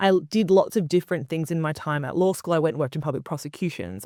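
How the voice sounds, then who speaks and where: With an Australian accent, a woman speaks at a very fast pace in a very deep, low pitch and a dark, mellow tone, on a very clean recording with a silent background and a dry, close sound with no echo. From Australia, Queensland. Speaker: media founder and commentator. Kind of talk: interview.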